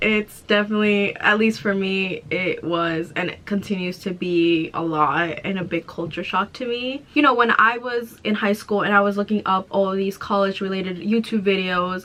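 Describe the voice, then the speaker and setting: A woman in an American accent speaks at a moderate pace and medium pitch with ordinary pitch variation. She leaves hardly any pauses, and noticeable background noise can be heard. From Mexico, raised in US from age three. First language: Spanish. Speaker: college student YouTuber. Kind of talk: reading aloud; casual vlog chat.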